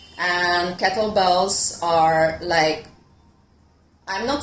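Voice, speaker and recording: A woman with an Italian accent speaks at a fairly low pitch, her voice carrying audible room echo. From Italy. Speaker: fitness coach. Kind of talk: online fitness talk. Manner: hesitant, with many fillers.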